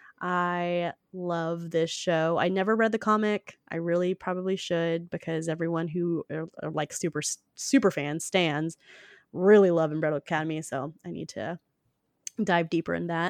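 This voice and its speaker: A woman talks in a normal speaking voice at a moderate pace and a fairly low pitch, with fairly even intonation, a dry, close sound with no echo and a quiet background. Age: 30s. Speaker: podcast host and producer. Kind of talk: casual interview chat.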